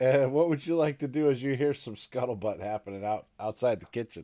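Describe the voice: With a dark, mellow tone, a man speaks at medium pitch and a fairly quick pace, his intonation fairly even.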